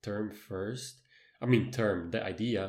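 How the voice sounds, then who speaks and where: Speaking at a fairly slow pace, a man with a non-native accent uses ordinary pitch variation. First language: not English. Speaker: podcast co-host. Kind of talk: casual chat. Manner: halting.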